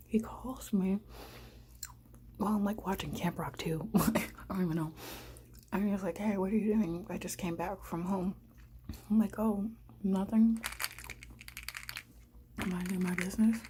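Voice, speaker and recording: A soft-spoken woman at medium pitch, with fairly even intonation, long, frequent pauses and noticeable background noise. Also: moderate pace. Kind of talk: ASMR storytime while eating. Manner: soft-spoken, casual.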